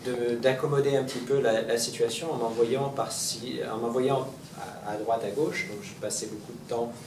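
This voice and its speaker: A man speaks at a moderate pace and medium pitch, with fairly even intonation. There is noticeable background noise and audible room echo. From Montreal, Quebec. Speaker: Buddhist reincarnated teacher giving a talk. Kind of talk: public talk. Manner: halting, many repetitions and fillers.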